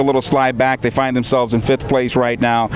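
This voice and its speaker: Noticeable background noise sits under the recording. A man speaks over it at a fairly quick pace. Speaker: sports broadcaster. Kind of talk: interview answer. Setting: outdoors.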